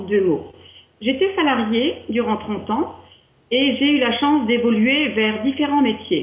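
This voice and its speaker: With an Alsatian accent, a woman speaks at a fairly slow pace in a high pitch, with audible room echo around her. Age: 50s. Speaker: wellness entrepreneur, training client. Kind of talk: interview testimony.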